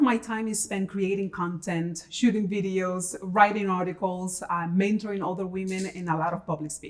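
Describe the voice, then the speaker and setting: A woman speaks with a Dominican accent. Her pace is moderate. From Dominican Republic, Santo Domingo. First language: Spanish. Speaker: tech executive and founder. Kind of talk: interview.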